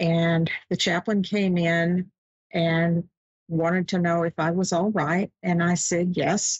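A woman's fairly low, somewhat breathy voice sounds dry with no echo over a quiet background. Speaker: show host. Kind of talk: personal story on live show. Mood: calm, warm, reflective. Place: home room. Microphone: webcam.

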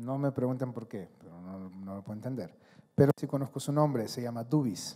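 Over a quiet background, a man with a dark, mellow tone talks fairly quickly with lively intonation. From Honduras. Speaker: athlete and speaker; speaker. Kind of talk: motivational talk. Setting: stage with audience. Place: hall. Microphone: handheld.

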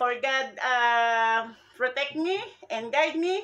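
The voice belongs to a woman. Her intonation is lively. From Philippines. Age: 50s. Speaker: vlogger. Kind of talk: casual vlog. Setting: at home. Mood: hopeful, grateful. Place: home room. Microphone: phone near.

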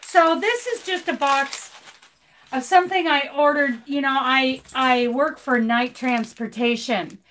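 A woman speaks at a high pitch with lively intonation. Her pace is fairly slow, over light background noise. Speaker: crochet YouTuber and truck driver; crochet YouTuber. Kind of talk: live stream chat. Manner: animated. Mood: cheerful, laughing. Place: home room. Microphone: phone near.

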